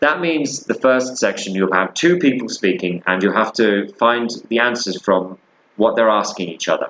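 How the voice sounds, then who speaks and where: With a British accent, a man of medium pitch speaks at a moderate pace using lively intonation. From Britain. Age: 30s. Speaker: English teacher. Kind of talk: lecture. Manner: casual, halting with fillers.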